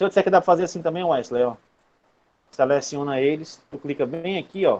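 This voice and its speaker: Delivery is fairly quick. The pitch shifts in an ordinary way. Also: man. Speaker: university lecturer. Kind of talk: online lecture. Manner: casual.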